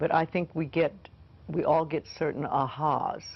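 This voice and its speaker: The speaker is a woman. She talks with a very deep, low pitch. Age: 80s. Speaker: self-help teacher. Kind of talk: interview. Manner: conversational.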